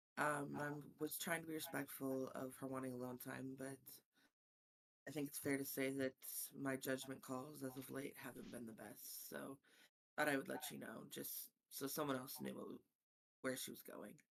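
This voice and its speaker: The speaker goes at a moderate pace but leaves long, frequent pauses. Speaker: tabletop game player. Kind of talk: tabletop roleplaying game session. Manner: quieter than usual in character.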